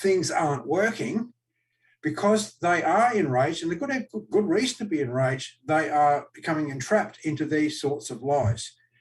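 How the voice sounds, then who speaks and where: A man with an Australian accent, fairly high in pitch, with very wide pitch swings at a moderate pace. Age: 60s. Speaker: political party official and candidate. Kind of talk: live-streamed political Q&A. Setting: live stream webcast. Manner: animated.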